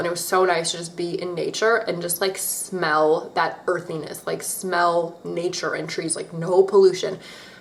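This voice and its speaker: A woman with an American accent, amid noticeable background noise and audible room echo. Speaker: beauty vlogger. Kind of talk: casual chat. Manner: casual, filler-heavy.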